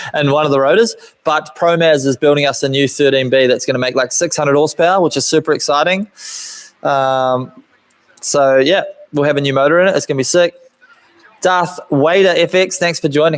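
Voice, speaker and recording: A man speaks at a fairly high pitch with a New Zealand accent. His pace is fairly quick, his pitch varies in an ordinary way, and his loudness stays very even. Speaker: car builder and YouTuber. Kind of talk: live stream Q&A chat. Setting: home workshop live stream. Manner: casual, rambling with fillers.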